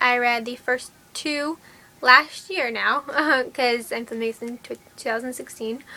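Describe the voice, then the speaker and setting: A woman uses a raised, projected voice at a high pitch. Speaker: book vlogger. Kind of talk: casual vlog haul. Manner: animated.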